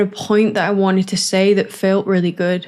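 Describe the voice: A woman speaks at a medium pitch with little pitch movement. Her tone is clear, smooth and slightly mellow.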